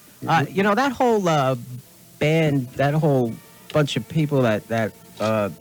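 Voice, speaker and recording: Over background music, a man talks at a fairly slow pace with lively intonation, very even loudness, and long, frequent pauses. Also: fairly high pitch for a man. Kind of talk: radio interviewer.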